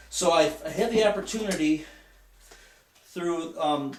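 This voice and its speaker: A man with a US Midwestern accent. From Michigan, US Midwest. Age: 50s. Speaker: student and lay Bible teacher. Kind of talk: class speech. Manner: halting.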